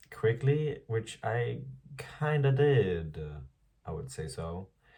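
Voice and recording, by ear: Audible room echo surrounds a man speaking with lively intonation.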